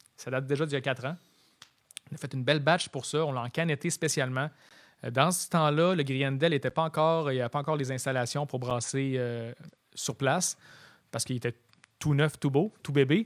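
A man's fairly high voice at a fairly quick pace, with fairly even intonation and long, frequent pauses. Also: very clean recording, silent background. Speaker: photographer and punk rock drummer. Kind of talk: casual chat.

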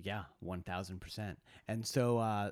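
A man with a plain, everyday voice, fairly low in pitch, on a very clean recording with a silent background. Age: 40s. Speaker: podcast co-host. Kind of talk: casual chat.

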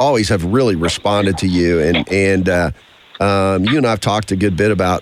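Speaking in an American accent, a man keeps a moderate pace. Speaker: radio host. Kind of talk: sports talk radio. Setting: studio. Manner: animated.

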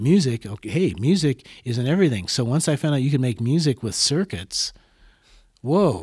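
A man's medium-pitched, somewhat breathy voice with an American accent, very wide pitch swings and a moderate pace, on a very clean recording with a silent background. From Des Moines, Iowa. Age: 60s. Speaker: musician and teacher. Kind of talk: interview conversation.

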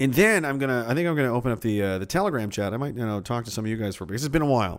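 Very fast speech from a man at medium pitch, lively intonation, very clean recording with a silent background. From Nova Scotia, Canada (Pictou). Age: 30s. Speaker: livestream podcast host. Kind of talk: casual livestream chat. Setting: home livestream in a basement. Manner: rambling, laughing often.

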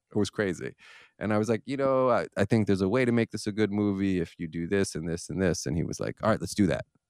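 A man's fairly low voice with an American accent at a very fast pace, dry and close with no echo. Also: ordinary pitch variation, very clean recording, silent background. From Philadelphia, US. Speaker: filmmaker. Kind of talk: casual chat. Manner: halting, many repeated words.

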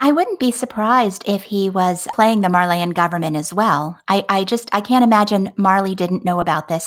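With an unremarkable speaking voice, a woman talks at a medium pitch and fairly quick pace, using ordinary pitch variation. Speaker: podcast co-host. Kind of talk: casual chat.

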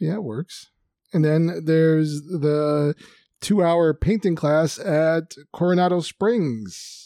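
A man talks at a very slow pace with a fairly high pitch and a dark, mellow tone. His ordinary pitch variation comes through in a dry, close sound with no echo. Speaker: podcast host. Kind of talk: casual chat.

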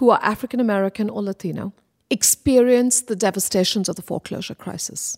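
A woman is heard in a dry, close sound with no echo on a very clean recording with a silent background. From India, Kolkata. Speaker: professor. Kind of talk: interview.

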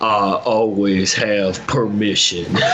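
Booming and fairly low, a man performs a put-on character voice. Clear background noise is audible. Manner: commanding, confident.

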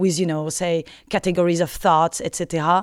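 A woman speaks in a French accent. The recording is very clean with a silent background and a dry, close sound with no echo. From France. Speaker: philosophy lecturer. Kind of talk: interview.

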